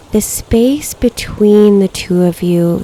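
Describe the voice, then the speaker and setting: Noticeable background noise sits behind a woman who talks at a very slow pace with ordinary pitch variation. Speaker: meditation guide. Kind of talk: guided meditation. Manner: slow, soft-spoken.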